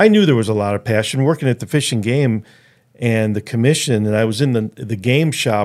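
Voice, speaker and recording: Speaking in a plain, everyday voice, a man keeps a moderate pace, his pitch fairly low and varying in an ordinary way. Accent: American. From Chicago, US Midwest. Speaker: conservation organization president. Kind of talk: casual interview.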